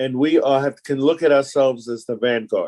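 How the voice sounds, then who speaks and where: At a moderate pace, a man with an American accent speaks at medium pitch with fairly even intonation. His tone is dark and mellow, and the sound is dry and close, with no echo. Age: 70s. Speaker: veteran communist activist. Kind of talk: group discussion.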